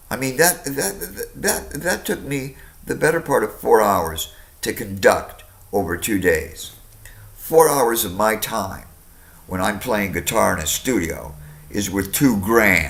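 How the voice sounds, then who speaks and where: A man's fairly low voice with vocal fry, very wide pitch swings, and a fairly slow pace. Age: 60s. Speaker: customer complaining to phone company. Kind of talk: phone complaint call. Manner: animated.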